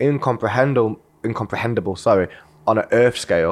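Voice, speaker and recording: A man's medium-pitched voice with a British accent and ordinary pitch variation. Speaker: podcast host interviewer. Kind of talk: casual interview. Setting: in person studio.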